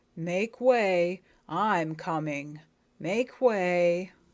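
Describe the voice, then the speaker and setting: A female-sounding, put-on character voice at middle pitch, on a very clean recording with a silent background. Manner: cross, imperious.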